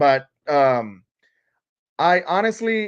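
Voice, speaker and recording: Over a quiet background, a man with a Puerto Rican accent talks with lively intonation. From Puerto Rico. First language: Spanish. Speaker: TV show podcaster. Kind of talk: live stream chat. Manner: casual, halting with fillers.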